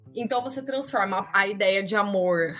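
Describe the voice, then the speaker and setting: A woman with ordinary pitch variation, over noticeable background noise. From Campinas, interior of São Paulo state, Brazil. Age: 30s. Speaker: history teacher. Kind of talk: casual interview.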